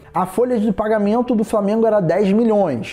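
There is noticeable background noise behind the speaker. A man talks at a moderate pace. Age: 30s. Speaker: podcast host, distance-education worker. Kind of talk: casual solo podcast monologue.

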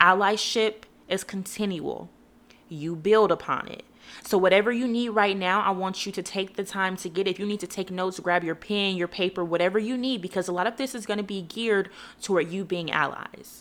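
The speaker has an ordinary speaking voice. The pace is fairly quick and the intonation fairly even. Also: woman, medium pitch for a woman. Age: 20s. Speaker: faith podcast host. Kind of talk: solo podcast monologue.

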